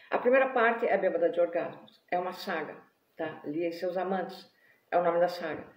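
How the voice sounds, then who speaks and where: Fairly quick speech from a woman with ordinary pitch variation, in audible room echo. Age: 60s. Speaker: writer and vlogger. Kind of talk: live video monologue. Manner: animated.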